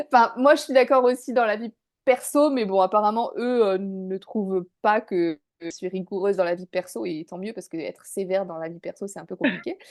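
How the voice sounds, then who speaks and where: A woman at medium pitch and moderate pace, lively in intonation with big swings in loudness, in a dry, close sound with no echo over a quiet background. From northern France, Dunkirk. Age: 30s. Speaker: business owner, former expat. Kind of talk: interview testimony. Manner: hesitant, many fillers.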